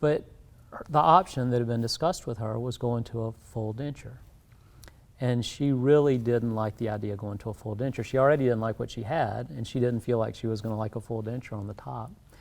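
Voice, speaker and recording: A man with a South Carolina accent, medium pitch, ordinary pitch variation and a fairly quick pace. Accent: US Southern (South Carolina). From South Carolina Lowcountry. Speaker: dentist. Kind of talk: interview.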